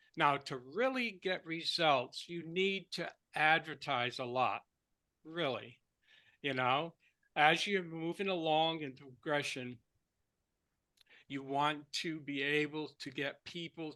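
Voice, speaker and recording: A man's fairly high, bright and sharp voice at a very slow pace, with long, frequent pauses, ordinary pitch variation and a quiet background. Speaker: online marketing trainer. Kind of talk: training call.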